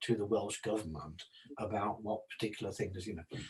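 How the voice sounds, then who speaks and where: Here a man speaks in a fairly low, somewhat breathy voice. His intonation stays fairly even. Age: 70s. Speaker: psychology and homelessness services consultant. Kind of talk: casual discussion. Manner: halting.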